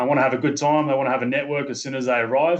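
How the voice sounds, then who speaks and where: A man with a slight Australian accent, medium pitch, monotone, flat intonation and a very fast pace. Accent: subtle Australian. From Australia, Sydney. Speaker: company manager recruiting labourers. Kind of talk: interview. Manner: halting, many fillers and repeats.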